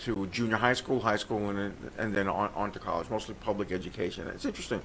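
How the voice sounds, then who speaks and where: Someone with an American accent talks at a very fast pace against noticeable background noise. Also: man. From New York City (Brooklyn). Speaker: comedian and forensic accountant. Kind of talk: radio interview.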